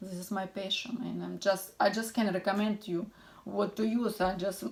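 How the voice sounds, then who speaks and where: A woman's medium-pitched voice with a non-native accent, at a moderate pace with fairly even intonation. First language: not English. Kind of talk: tutorial. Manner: halting.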